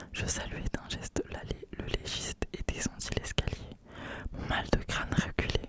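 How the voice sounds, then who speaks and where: Whispered female speech against noticeable background noise. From France. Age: 20s. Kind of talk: ASMR novel reading. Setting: home studio, close microphone.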